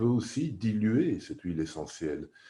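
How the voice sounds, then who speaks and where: Over a quiet background, a man speaks at a moderate pace in a dark, mellow tone that is somewhat breathy. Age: 60s. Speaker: aromatherapy teacher. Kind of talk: course presentation.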